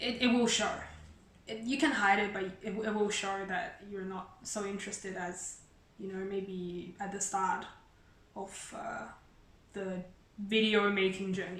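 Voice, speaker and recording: Speaking in a Chinese accent at a fairly slow pace, a woman with a medium pitch keeps a fairly even intonation and takes long, frequent pauses, amid audible room echo and noticeable background noise. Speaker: YouTuber. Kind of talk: casual chat. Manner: halting.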